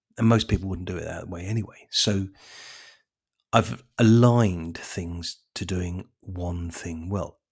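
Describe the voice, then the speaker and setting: A man with a very deep, low pitch speaks fairly slowly, somewhat breathy, with fairly even intonation and big swings in loudness. The recording is very clean with a silent background. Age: 50s. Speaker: lawn care business owner. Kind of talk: casual monologue.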